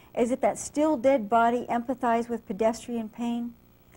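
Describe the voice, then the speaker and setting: In a very clean recording with a silent background, a woman with an American accent speaks at a moderate pace in a high voice with a dark, mellow tone. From US West Coast (San Jose, California). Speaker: poet and English professor. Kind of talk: poetry reading. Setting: library reading with live audience.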